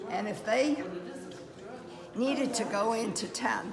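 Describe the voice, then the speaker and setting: With noticeable background noise, a woman speaks fairly slowly at a fairly high pitch, her pitch varying in an ordinary way. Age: 80s+. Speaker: war veteran. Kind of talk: interview answer. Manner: hesitant.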